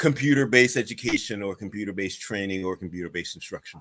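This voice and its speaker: A man with a New York accent at a very fast pace. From Staten Island, New York. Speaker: interview host, education consultant. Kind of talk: interview.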